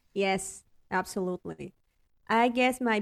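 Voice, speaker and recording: A woman with a Spanish accent speaks at a very slow pace, the sound dry and close with no echo. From Mexico City. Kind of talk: interview. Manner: hesitant, many fillers and repetitions.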